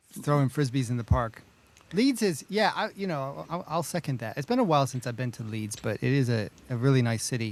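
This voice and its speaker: Delivered at a fairly quick pace, a normal speaking voice carries lively intonation. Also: man, medium pitch for a man. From United States. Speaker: podcast co-host. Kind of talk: casual chat.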